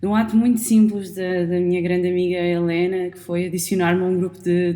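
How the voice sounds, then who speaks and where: Speaking fairly quickly with a European Portuguese accent, a woman uses a medium pitch, monotone, flat intonation and a dark, mellow tone. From Portugal. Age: 20s. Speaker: podcast host. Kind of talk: podcast conversation. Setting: studio microphone recording. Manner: halting, many fillers.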